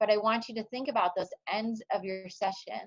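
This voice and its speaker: With ordinary pitch variation, a woman speaks in a fairly high pitch. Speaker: speech therapist / webinar speaker. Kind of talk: webinar presentation. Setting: online webinar. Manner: loud.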